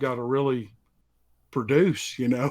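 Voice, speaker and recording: At a moderate pace, the speaker talks in a strong Southern US accent. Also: man. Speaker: story narrator. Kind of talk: casual interview.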